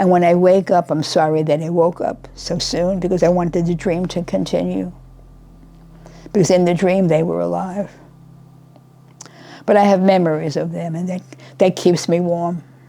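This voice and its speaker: A quiet woman's voice, fairly low in pitch, with monotone, flat intonation, a moderate pace and long, frequent pauses. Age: 80s+. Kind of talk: interview answer. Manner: quiet, reflective.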